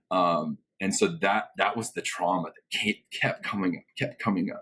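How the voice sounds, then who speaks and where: A man talks at a moderate pace. His voice sounds dry and close, without any echo. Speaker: guest sharing divorce experience. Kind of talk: personal testimony in interview. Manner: loud and boisterous.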